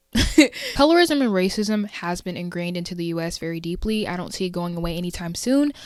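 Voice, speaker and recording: Against noticeable background noise, a woman with an American accent talks at a fairly quick pace with hardly any pauses, her fairly low voice showing ordinary pitch variation. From USA. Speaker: podcast host. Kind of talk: solo podcast commentary. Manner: casual, conversational.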